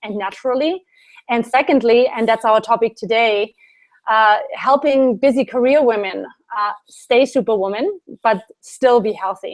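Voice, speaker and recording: A woman with a German accent, high pitch, ordinary pitch variation and a fairly slow pace. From Germany. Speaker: Ayurvedic specialist and yoga teacher. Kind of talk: interview.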